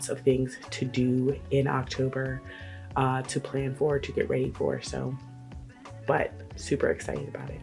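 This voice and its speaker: With music in the background, this woman talks fairly slowly. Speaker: lifestyle vlogger. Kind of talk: casual talk to camera.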